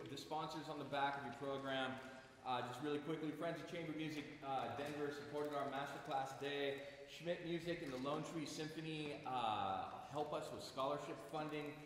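Strong room echo and light background noise surround a man speaking with monotone, flat intonation. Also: moderate pace. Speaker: summer academy staff host. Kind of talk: welcome speech to a concert audience. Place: hall. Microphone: camera far.

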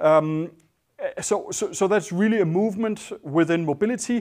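Here a man speaks with a Danish accent. The background is quiet. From Denmark. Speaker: designer and entrepreneur. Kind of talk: panel talk. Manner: halting. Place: hall. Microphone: lapel.

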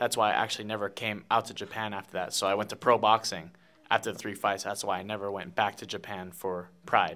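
Very fast and fairly even in intonation, a man with a Hawaiian accent speaks in a bright, sharp tone at a fairly low pitch. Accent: Hawaiian American English. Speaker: professional fighter. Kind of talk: interview. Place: meeting room. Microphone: handheld.

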